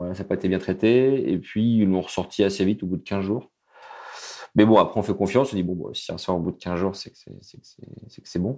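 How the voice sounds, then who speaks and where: This man's dark, mellow, fairly low voice is captured in a very clean recording with a silent background. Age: 30s. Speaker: widower sharing his story. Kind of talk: testimony. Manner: halting.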